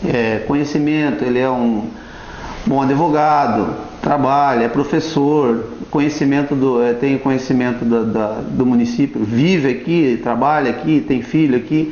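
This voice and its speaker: A man at a fairly slow pace, very even in loudness and fairly even in intonation, with audible room echo. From Brazil, Paraná coast (Pontal do Paraná). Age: 40s. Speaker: local political candidate and fisherman. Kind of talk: TV interview. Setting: TV studio. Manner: halting, with frequent repetitions. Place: studio.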